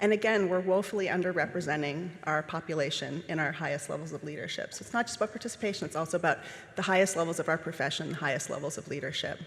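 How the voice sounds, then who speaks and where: Very fast and with hardly any pauses, a woman speaks at a fairly low pitch with ordinary pitch variation over noticeable background noise. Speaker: landscape architect speaker. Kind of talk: conference talk. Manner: formal.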